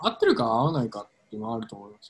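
A man's somewhat breathy voice with very wide pitch swings. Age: 30s. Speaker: podcast co-host. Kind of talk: casual chat. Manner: halting.

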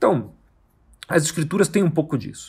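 A man's voice is heard here. The background is silent and the recording very clean. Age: 40s. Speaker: podcast host on Bible study. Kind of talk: solo podcast teaching monologue. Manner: casual, with frequent fillers.

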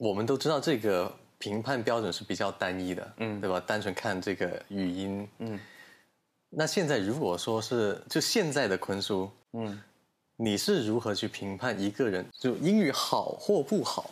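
A man with a normal speaking voice talks at a fairly low pitch and a fairly slow pace, with ordinary pitch variation. The recording is very clean, with a silent background. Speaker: podcast host. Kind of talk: casual interview chat. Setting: studio recorded on video.

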